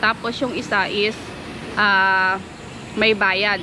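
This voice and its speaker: A woman's voice over noticeable background noise. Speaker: caretaker and vlogger. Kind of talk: casual vlog. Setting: outdoors in a park.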